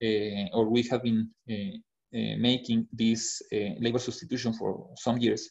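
With a Spanish accent, a man talks at a medium pitch. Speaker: HR consultant. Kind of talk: webinar presentation. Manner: halting, many fillers.

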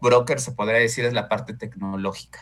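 The speaker is a man. A bright, sharp tone marks his voice. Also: very clean recording, silent background. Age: 30s. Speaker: insurance broker. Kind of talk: casual interview.

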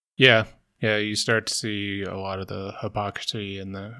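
A man with an American accent, fairly low in pitch, bright and sharp in tone, at a moderate pace, in a very clean recording with a silent background. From US South. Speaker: podcast producer. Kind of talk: casual chat. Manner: introverted, quiet.

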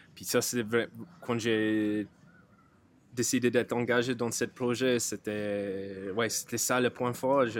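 With an English accent, a man talks at a very slow pace, using long, frequent pauses and a flat, monotone delivery at medium pitch. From rural Ireland. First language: English (speaking French). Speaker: brewer. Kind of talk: casual chat. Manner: halting.

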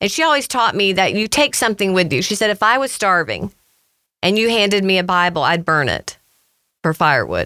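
A woman's voice sits at a medium pitch with a bright, sharp tone and very even loudness. The recording is very clean with a silent background, and the sound is dry and close with no echo. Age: 50s. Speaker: nonprofit founder. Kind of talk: interview.

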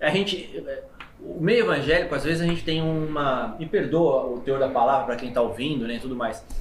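Delivered at a fairly quick pace with ordinary pitch variation, the voice carries audible room echo and noticeable background noise. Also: man, fairly high pitch for a man. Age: 30s. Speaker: podcast host, pastor. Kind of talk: casual interview chat.

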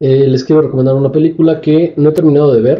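With fairly even intonation, a man talks in a somewhat breathy voice. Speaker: film podcast co-host. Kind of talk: casual chat.

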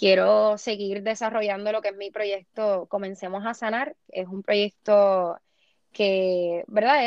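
This is an unremarkable speaking voice with fairly even intonation. It moves at a fairly slow pace. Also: woman. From Puerto Rico. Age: 20s. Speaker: beauty pageant contestant. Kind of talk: interview.

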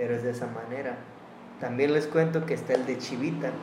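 Noticeable background noise and audible room echo accompany a man talking at a fairly quick pace, his medium-pitched voice monotone and flat. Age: 20s. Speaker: podcast host, student. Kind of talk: casual chat.

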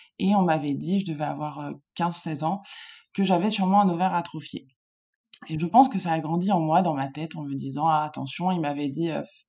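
A woman with a very deep, low pitch and a dark, mellow tone speaks at a fairly quick pace, with ordinary pitch variation. She takes long, frequent pauses, and the recording is very clean with a silent background. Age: 30s. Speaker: furniture designer sharing her fertility journey. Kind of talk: personal testimony in interview.

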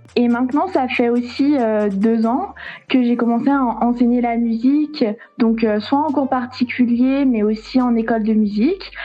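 Against noticeable background noise, a woman talks in a high pitch at a fairly slow pace, with ordinary pitch variation and very even loudness. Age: 20s. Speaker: saxophonist and music teacher. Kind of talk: casual interview. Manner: hesitant, many fillers.

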